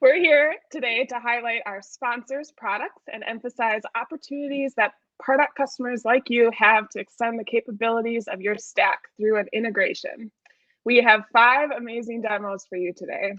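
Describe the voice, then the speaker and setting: A woman's fairly high voice with a Wisconsin accent, moderate pace, ordinary pitch variation, big swings in loudness, and a dry, echo-free sound over a quiet background. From Wisconsin, US Midwest. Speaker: event host. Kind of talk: event hosting, partly scripted. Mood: upbeat, friendly. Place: home room.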